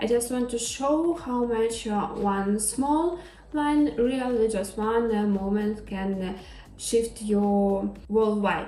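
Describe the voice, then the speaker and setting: Over music in the background, a woman with a fairly high pitch speaks at a very slow pace with lively intonation. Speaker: model and lifestyle creator. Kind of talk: ASMR makeup tutorial talk. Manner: soft-spoken, calm.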